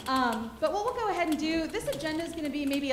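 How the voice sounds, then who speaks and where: A woman speaks loudly with very wide pitch swings, amid noticeable background noise and audible room echo. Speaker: workshop presenter for a disaster relief organization. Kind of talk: conference workshop presentation. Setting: conference room with audience, handheld mic.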